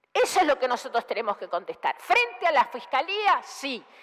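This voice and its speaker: A woman with a high pitch speaks at a moderate pace, her voice swinging very widely in pitch. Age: 60s. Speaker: senator. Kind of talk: parliamentary speech. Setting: senate chamber. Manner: formal.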